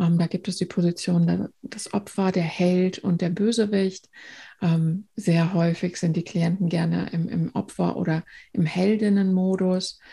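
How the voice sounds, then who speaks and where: A woman of medium pitch speaks fairly slowly in a somewhat breathy, dark, mellow tone, with monotone, flat intonation and very even loudness, on a very clean recording with a silent background. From northern Germany, near Bremen. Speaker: trauma therapist. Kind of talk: interview.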